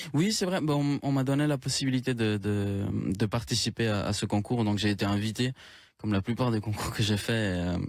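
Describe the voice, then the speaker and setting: A fairly quick pace, ordinary pitch variation and very even loudness on a very clean recording with a silent background. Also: man. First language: Spanish (speaking French). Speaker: singer-songwriter. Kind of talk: radio interview.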